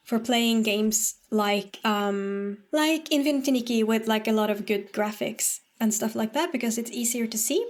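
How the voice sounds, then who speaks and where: A woman's fairly high voice, with ordinary pitch variation and a fairly slow pace, in a very clean recording against a silent background. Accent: slight Norwegian. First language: Norwegian. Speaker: streamer. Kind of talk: casual gaming stream chat. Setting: live stream. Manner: halting.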